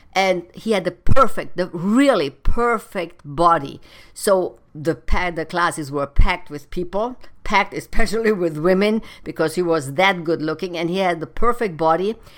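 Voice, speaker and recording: A woman with a German accent and ordinary pitch variation, on a very clean recording with a silent background. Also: fairly low pitch for a woman, moderate pace. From Germany. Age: 50s. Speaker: personal trainer and podcast host. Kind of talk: solo advice monologue.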